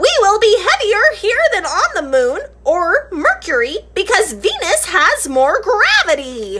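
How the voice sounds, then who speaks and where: Putting on a character voice, a woman speaks at an extremely high pitch and a fairly slow pace, her pitch swinging very widely. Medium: read story. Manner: enthusiastic, explanatory.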